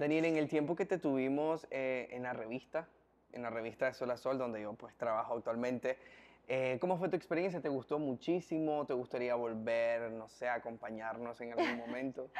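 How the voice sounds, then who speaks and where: A man's voice at a moderate pace, with ordinary pitch variation. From Nicaragua. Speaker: interviewer and entertainment presenter; interviewer. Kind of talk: interview. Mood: friendly, polite. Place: home room.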